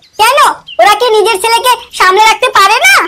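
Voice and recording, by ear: Squeaky and cartoonish, this character voice keeps a moderate pace and fairly even intonation. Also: woman, extremely high pitch for a woman.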